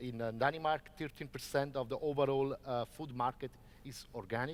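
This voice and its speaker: At a moderate pace, a man with an Italian accent speaks at medium pitch with fairly even intonation. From Italy. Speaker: organic farming advocate. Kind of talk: panel debate.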